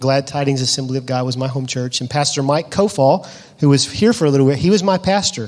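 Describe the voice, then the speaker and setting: Very fast in pace, a man with a Southern US accent talks at a fairly high pitch with ordinary pitch variation. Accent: Southern US (Georgia). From US South, Georgia (Lovejoy, south of Atlanta). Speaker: missionary. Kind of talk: interview in church service.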